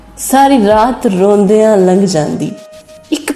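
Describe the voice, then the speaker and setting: Music plays in the background as a woman talks. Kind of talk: poetry reading.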